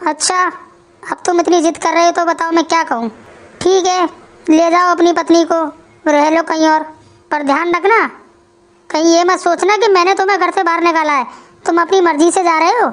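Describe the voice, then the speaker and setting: In a cartoonish character voice, a woman with an extremely high pitch talks at a fairly quick pace with fairly even intonation and long, frequent pauses. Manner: smug.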